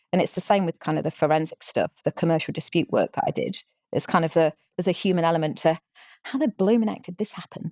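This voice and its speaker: A woman with a strong English accent talks at a very fast pace with ordinary pitch variation. Her dark, mellow tone sounds dry and close with no echo. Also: fairly low pitch for a woman, very clean recording, silent background. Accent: English, still strong. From England. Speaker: social entrepreneur. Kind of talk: podcast interview. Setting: live podcast recording.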